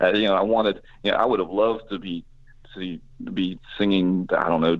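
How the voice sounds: A man speaks at a moderate pace with fairly even intonation. His pitch is low.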